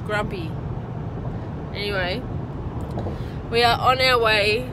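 A woman with an Australian accent at a fairly slow pace, amid loud background noise. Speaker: travel vlogger. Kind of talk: casual travel vlog talk. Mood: joking, a bit grumpy. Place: car. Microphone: phone near.

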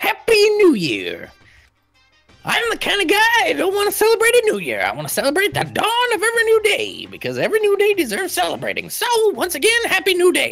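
A man performs in a put-on character voice. Faint music plays in the background. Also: fairly quick pace. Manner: cheerful, mock sweet.

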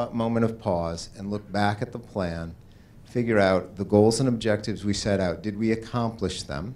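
This is an unremarkable speaking voice at a moderate pace. Its pitch variation is ordinary. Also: man. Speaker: presenter. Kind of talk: public meeting presentation. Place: hall. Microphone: handheld.

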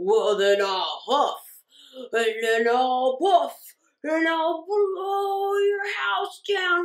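A woman uses a put-on character voice pitched extremely high, with very wide pitch swings. She speaks at a very slow pace.

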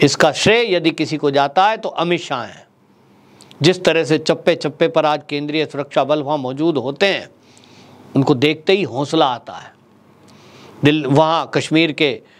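A man's fairly high voice, with ordinary pitch variation and big swings in loudness. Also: fairly slow pace. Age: 40s. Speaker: political commentator. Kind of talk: political commentary monologue. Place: studio. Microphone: lapel.

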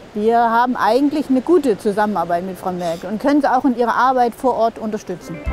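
Recorded dry with no echo over light background noise, a woman talks at a fairly quick pace with ordinary pitch variation. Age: 60s. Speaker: party delegate. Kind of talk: interview; interview answer. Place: waterside.

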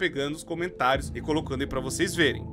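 A man speaks in a raised, projected voice while music plays clearly in the background. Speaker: video commentator. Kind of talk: casual commentary. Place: home room. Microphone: studio mic.

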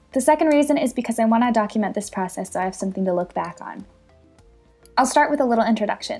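A woman's voice over music in the background. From Ohio, USA. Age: 20s. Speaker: personal trainer and bikini competitor. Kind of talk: casual talk to camera.

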